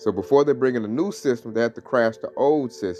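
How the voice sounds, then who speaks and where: Music plays in the background behind a man's voice. He speaks at a medium pitch with ordinary pitch variation. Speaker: religious teacher. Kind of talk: lesson. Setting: at home, early morning. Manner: soft-spoken.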